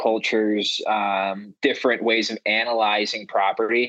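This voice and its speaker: Here a man with an American accent talks in an ordinary speaking voice at medium pitch. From northeastern Pennsylvania. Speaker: real estate agent and investor. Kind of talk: casual interview.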